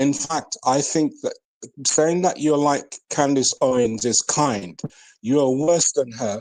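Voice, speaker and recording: A man with a British accent speaks very slowly at a fairly high pitch, with ordinary pitch variation. The sound is dry and close with no echo, over a quiet background. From Jamaica. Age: 60s. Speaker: elder in online debate. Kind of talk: heated debate.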